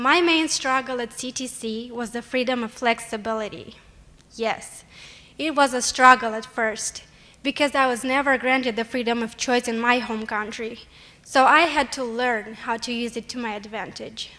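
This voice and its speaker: In a Romanian accent, a woman speaks at a high pitch and a moderate pace. Her intonation is fairly even. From Moldova. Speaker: college student, award nominee. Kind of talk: award speech. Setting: stage with audience. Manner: formal.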